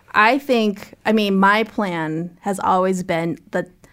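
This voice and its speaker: A normal speaking voice with an American accent, fairly even intonation, and a very clean recording over a silent background. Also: woman. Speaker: podcast host. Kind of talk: casual interview.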